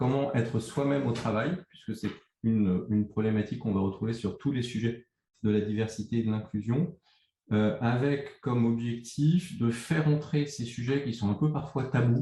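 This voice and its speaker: A man speaks at a moderate pace with a medium pitch, a dark, mellow tone, ordinary pitch variation and a somewhat breathy quality. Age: 50s. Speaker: agency co-founder. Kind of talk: interview. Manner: hesitant.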